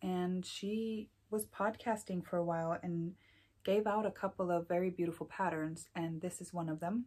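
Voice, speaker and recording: Soft-spoken and medium in pitch, a woman talks at a moderate pace with ordinary pitch variation. Her tone is dark and mellow, and the recording is very clean with a silent background. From Iceland. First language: Icelandic. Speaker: knitting podcaster. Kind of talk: casual chat. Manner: frequent ums.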